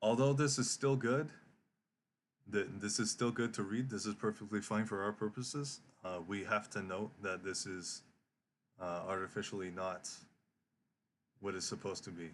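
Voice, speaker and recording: Over a quiet background, a man with a fairly low pitch and ordinary pitch variation talks at a moderate pace, leaving long, frequent pauses. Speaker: trading educator streamer. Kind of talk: live stream market analysis. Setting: live stream. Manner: halting, many fillers and repeats.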